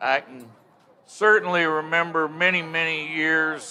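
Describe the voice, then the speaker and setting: Noticeable background noise sits behind a man with a Texan accent. He speaks at a very slow pace and a fairly high pitch. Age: 60s. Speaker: football commentator. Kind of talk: interview. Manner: halting.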